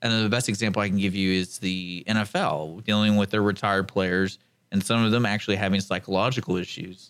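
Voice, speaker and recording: In a very clean recording with a silent background, a man talks at a fairly quick pace with a fairly low pitch, fairly even intonation and a normal speaking voice. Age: 30s. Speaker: radio station manager. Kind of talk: casual radio talk show.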